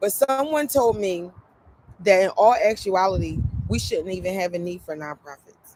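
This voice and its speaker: A woman at medium pitch with an American accent and ordinary pitch variation. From Philadelphia, US. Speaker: YouTuber and nonprofit founder. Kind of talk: casual vlog talk. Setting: live stream. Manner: filler-heavy, conversational.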